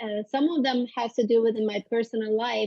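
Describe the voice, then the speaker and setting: A woman with a Turkish accent, fairly high-pitched, at a moderate pace with fairly even intonation. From Turkey (Istanbul). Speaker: psychologist. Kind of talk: interview conversation.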